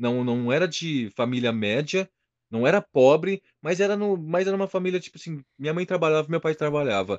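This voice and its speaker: Over a quiet background, with a dry, close sound and no echo, a man uses an unremarkable speaking voice at a moderate pace, fairly high in pitch with lively intonation. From interior of São Paulo state, Brazil (São José do Rio Preto). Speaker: heavily tattooed body-modification personality. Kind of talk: casual interview.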